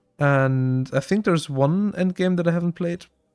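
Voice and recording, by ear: At a moderate pace, a man speaks with a fairly high pitch, ordinary pitch variation, and a clear, smooth, slightly mellow tone.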